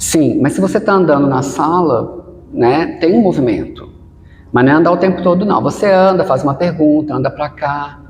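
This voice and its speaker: The loudness stays very even at a moderate pace, with audible room echo. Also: man, high pitch for a man, ordinary pitch variation. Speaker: researcher and actor giving presentation tips. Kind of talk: podcast interview.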